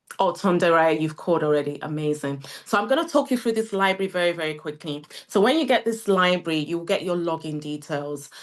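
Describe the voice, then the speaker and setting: A woman speaks with a British accent at a moderate pace. Her pitch is fairly low, and the background is quiet. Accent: UK. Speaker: CEO of a training academy presenting a webinar. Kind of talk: sales pitch webinar. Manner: animated.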